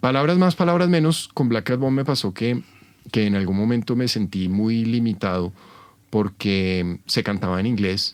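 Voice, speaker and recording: A man with a Bogotá accent speaks at fairly low pitch and a fairly slow pace. The recording is very clean with a silent background. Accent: Bogotá Colombian Spanish. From Colombia, Bogotá. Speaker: rock and blues musician. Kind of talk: interview, casual chat. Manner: hesitant, many fillers.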